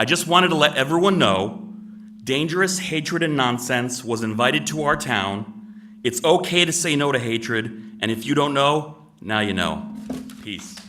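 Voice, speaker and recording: Amid noticeable background noise and audible room echo, a man with an American accent talks at a moderate pace, his fairly high pitch making very wide swings. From Connecticut, US. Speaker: resident giving public comment. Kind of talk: public comment speech. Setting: town meeting room with audience, microphone. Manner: formal.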